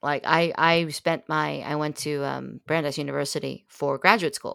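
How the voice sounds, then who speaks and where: A woman speaks at a moderate pace with a very deep, low pitch, vocal fry and ordinary pitch variation. The recording is very clean, with a silent background. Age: 50s. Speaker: podcast guest. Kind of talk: casual chat. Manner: animated.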